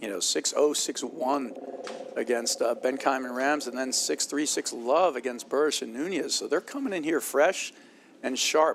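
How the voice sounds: At a moderate pace, a man speaks at medium pitch with ordinary pitch variation and a fairly bright tone.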